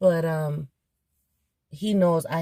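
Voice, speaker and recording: A very slow, somewhat breathy woman's voice. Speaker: vlogger. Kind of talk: casual vlog. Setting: in a car. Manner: casual, hesitant with fillers.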